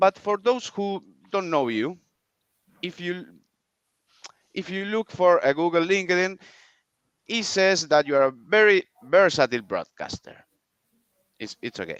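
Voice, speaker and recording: A man with a Spanish accent talks at a moderate pace with a high pitch and lively intonation. He takes long, frequent pauses, and the sound is dry and close with no echo. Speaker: podcast host. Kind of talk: interview introduction. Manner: halting, repeated words.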